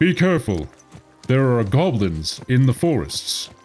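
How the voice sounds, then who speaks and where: A man puts on a character voice at a medium pitch, swinging very widely up and down at a moderate pace over faint background music. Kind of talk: game NPC voice.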